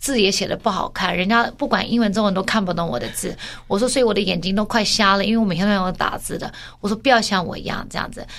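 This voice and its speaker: Her pitch medium and its variation ordinary, a woman talks at a very fast pace. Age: 40s. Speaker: podcast co-host. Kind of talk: casual chat.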